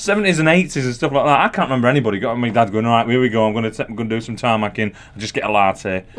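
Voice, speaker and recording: A man with a Yorkshire accent at a very fast pace, ordinary pitch variation, and noticeable background noise. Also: medium pitch for a man, hardly any pauses. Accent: Yorkshire (Barnsley). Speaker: comedian. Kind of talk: casual chat.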